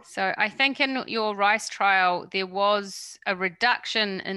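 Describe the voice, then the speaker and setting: Recorded very cleanly against a silent background, a woman with a New Zealand accent talks at a fairly slow pace in a bright, sharp tone. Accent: New Zealand twang. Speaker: workshop moderator. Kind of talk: Q&A session.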